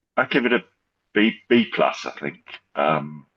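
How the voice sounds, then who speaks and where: A man with an English accent speaks at a medium pitch, his voice showing vocal fry. His pitch swings very widely. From England, north of London. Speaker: football fan. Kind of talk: casual chat. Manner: halting, repeats words.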